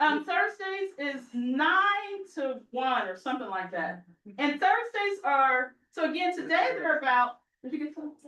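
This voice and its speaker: In a raised, projected voice, a woman speaks at a fairly slow pace, animated, high pitched, and bright and sharp in tone, with very wide pitch swings. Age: 60s. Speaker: herbalist and pastor. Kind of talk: community meeting talk.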